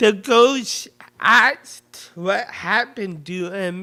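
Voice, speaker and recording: A man with an American accent speaks in a raised, projected voice. His pitch is high and his pace very slow. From US, northern edge of the Bible Belt. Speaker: lecturer. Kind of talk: lecture. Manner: halting.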